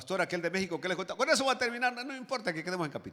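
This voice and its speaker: A man's voice over noticeable background noise. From rural Latin America. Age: 60s. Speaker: pastor. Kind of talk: sermon. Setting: church. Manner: animated.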